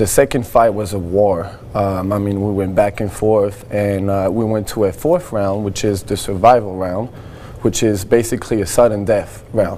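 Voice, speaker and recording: Noticeable background noise sits behind a man with a slight French accent who talks at a fairly low pitch and moderate pace. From France. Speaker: Muay Thai fighter. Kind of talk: TV interview.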